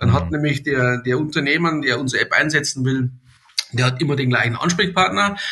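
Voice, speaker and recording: A man's fairly high voice, with ordinary pitch variation, sits over noticeable background noise. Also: very even loudness. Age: 60s. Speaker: company director. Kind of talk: podcast interview.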